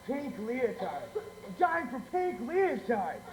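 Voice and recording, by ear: A man's put-on character voice at an extremely high pitch, with big pitch swings, a slow pace and audible room echo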